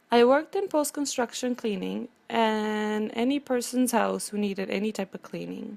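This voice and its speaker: With a Romanian accent, a woman speaks at a moderate pace in a fairly high pitch, with hardly any pauses. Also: ordinary pitch variation. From Romania, Transylvania. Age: 50s. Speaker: cleaning business owner. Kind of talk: prepared personal speech.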